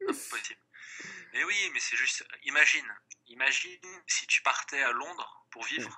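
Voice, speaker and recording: The speech is whispered at a fairly slow pace. Pauses are long and frequent. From France, Grenoble. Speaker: language exchange partner. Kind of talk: casual chat.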